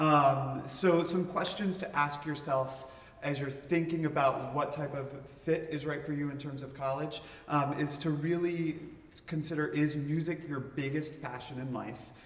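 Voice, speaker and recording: Fairly high-pitched male voice at a moderate pace, fairly even in intonation, with audible room echo and noticeable background noise. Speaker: admissions officer. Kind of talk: informational talk to students.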